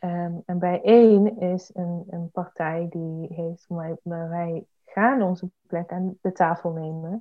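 Very slowly and with fairly even intonation, a woman talks in a fairly low pitch. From Eindhoven, North Brabant, Netherlands. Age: 20s. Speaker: parliamentary candidate and activist. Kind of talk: interview. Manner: hesitant, many fillers.

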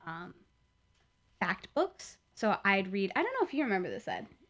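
A woman's medium-pitched voice with a General American accent. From US Midwest. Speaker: podcast co-host. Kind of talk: casual chat, comedic banter. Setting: recorded at home on headphone mic. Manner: animated, joking.

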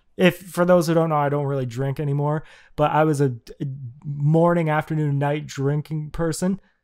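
Speech runs at a moderate pace on a very clean recording with a silent background. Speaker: podcast host. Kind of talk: casual chat podcast. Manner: animated, talkative.

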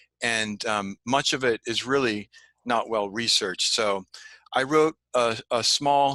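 In a Californian accent, a man talks fairly slowly with a bright, sharp tone, a medium pitch and ordinary pitch variation. The sound is dry and close with no echo, against a quiet background. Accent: Californian American English. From California, Santa Ana. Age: 50s. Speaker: history teacher and writer. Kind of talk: interview.

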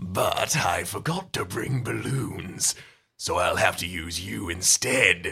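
This is a put-on character voice, raspy and sinister with a menacing tone. It moves at a fairly slow pace. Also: man, very deep, low pitch for a man. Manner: sinister, menacing.

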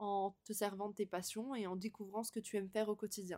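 A woman's medium-pitched voice at a fairly quick pace, monotone and flat in intonation, with a dry, close sound and no echo. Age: 20s. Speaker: podcast host. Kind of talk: casual monologue. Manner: spontaneous, with hesitations.

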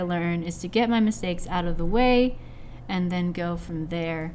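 An ordinary speaking voice, this woman talks at a moderate pace and medium pitch with ordinary pitch variation and an American accent. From US Pacific Northwest (Seattle, Washington). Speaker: creative director of an animation project, comic artist. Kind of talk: casual podcast interview.

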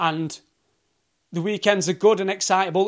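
A man in a Yorkshire accent speaks at a high pitch. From South Yorkshire, England. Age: 30s. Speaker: podcaster on sobriety and addiction. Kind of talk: solo rant monologue. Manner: casual, animated.

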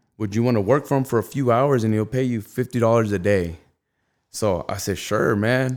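An unremarkable speaking voice from a man with an American accent, medium-pitched, ordinary in pitch variation, at a fairly quick pace, on a very clean recording with a silent background. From Rialto, Southern California. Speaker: clothing brand founder. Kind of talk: casual interview.

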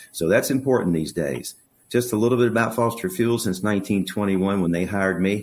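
A man's normal speaking voice with an American accent, fairly low in pitch, with ordinary pitch variation at a moderate pace, on a very clean recording with a silent background. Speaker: local business executive. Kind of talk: interview.

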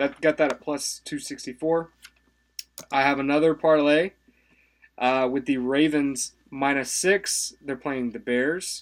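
A man with a plain, everyday voice, a fairly high pitch, fairly even intonation and a fairly slow pace. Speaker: sports betting podcast co-host. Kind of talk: casual chat.

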